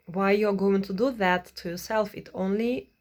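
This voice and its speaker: A woman speaks at a medium pitch with a non-native accent. Her intonation stays fairly even. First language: not English. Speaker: vlogger. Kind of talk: advice monologue. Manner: halting, many fillers.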